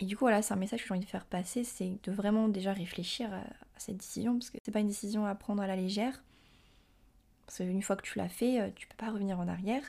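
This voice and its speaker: A woman talks very fast at medium pitch with a dark, mellow tone. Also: fairly even intonation. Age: 20s. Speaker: podcaster. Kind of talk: personal monologue. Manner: hesitant with many fillers.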